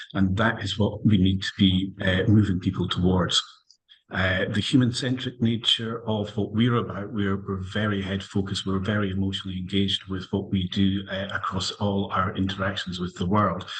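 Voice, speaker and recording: In a Scottish accent, a man speaks at a moderate pace with a fairly low, somewhat breathy voice and monotone, flat intonation. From Scotland. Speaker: lawyer, panellist. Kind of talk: panel discussion. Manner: halting, many fillers.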